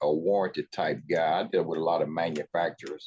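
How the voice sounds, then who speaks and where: Male speech delivered at a fairly quick pace. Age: 60s. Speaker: appliance repair technician. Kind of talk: virtual group discussion.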